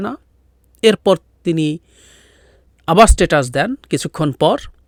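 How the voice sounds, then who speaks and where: A man with a high pitch talks with lively intonation. The sound is dry with no echo, and the background is quiet. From Bangladesh, Rangamati hill district; Bangladesh. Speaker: political commentator. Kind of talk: solo political commentary. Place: home room. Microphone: studio mic.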